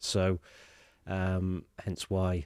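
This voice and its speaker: In a dry, close sound with no echo, a man speaks with a very deep, low voice and a dark, mellow tone on a very clean recording with a silent background. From England, Lincolnshire (East Midlands). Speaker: sustainability specialist. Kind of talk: casual chat. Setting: studio. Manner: hesitant, many fillers.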